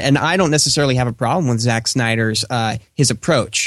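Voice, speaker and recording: A man's unremarkable speaking voice at a medium pitch and moderate pace, over a quiet background. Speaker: radio producer and movie reviewer. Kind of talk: casual chat. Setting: home mic, remote call.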